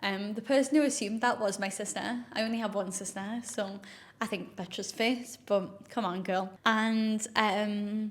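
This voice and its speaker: Somewhat breathy and fairly high-pitched, this woman talks at a moderate pace with fairly even intonation. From northeast England, South Shields. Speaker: influencer and health coach. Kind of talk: casual chat to camera. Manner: chatty, with many fillers.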